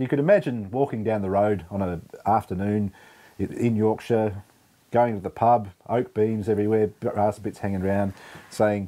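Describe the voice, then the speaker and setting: In an Australian accent, a man talks at a moderate pace with fairly even intonation. His voice has a dark, mellow tone and a fairly low pitch. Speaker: beer reviewer. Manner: casual, conversational.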